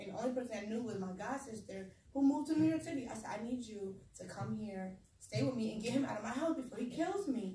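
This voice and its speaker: A woman talks at a very fast pace in an animated tone. Audible room echo and noticeable background noise surround her voice. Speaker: speaker sharing personal trauma story. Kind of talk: testimony.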